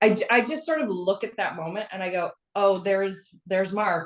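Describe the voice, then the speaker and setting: Pitch variation here is ordinary. It belongs to a woman's voice. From Newfoundland outport. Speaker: actor. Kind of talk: interview.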